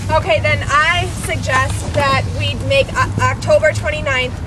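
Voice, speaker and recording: A woman is heard talking with noticeable background noise behind her. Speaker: protest organizer. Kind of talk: public meeting facilitation. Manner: loud.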